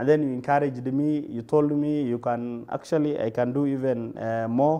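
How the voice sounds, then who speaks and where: In a Kenyan accent, a man with a fairly high pitch and a dark, mellow tone speaks at a moderate pace with fairly even intonation. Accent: Kenyan (Somali-Kenyan) English. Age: 20s. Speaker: radiographer and medical supplies entrepreneur. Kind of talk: interview. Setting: TV studio, live broadcast. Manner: halting, many fillers.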